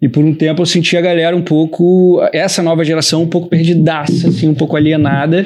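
A man speaks at a fairly quick pace with hardly any pauses, his pitch high and his intonation flat and monotone. His loudness stays very even over noticeable background noise. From Rio de Janeiro, Brazil. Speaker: designer and production company partner. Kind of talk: casual chat.

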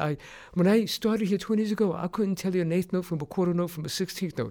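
Dark, mellow male tone captured on a very clean recording, the background silent. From New York City, Puerto Rican family. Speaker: percussion teacher. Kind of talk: personal storytelling.

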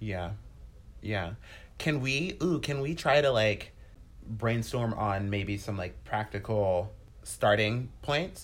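Somewhat breathy, the voice moves at a very slow pace with lively intonation and long, frequent pauses. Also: man, fairly low pitch for a man. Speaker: podcast co-host. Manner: animated, casual.

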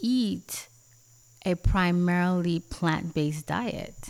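Very slowly, a woman with a fairly low voice speaks with ordinary pitch variation in a very clean recording with a silent background. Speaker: podcast host. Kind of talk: casual podcast conversation.

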